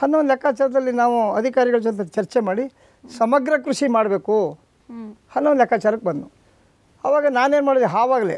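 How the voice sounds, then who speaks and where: A man with an extremely high pitch speaks over a quiet background. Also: ordinary pitch variation. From Mysuru district, Karnataka (rural); Karnataka, India. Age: 70s. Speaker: farmer; guest. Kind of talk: interview. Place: studio. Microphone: lapel.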